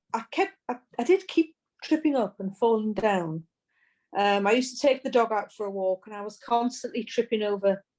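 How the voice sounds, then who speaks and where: On a very clean recording with a silent background, a woman with a British accent speaks at a moderate pace with lively intonation. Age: 60s. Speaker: person with multiple sclerosis. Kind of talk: podcast interview. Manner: halting.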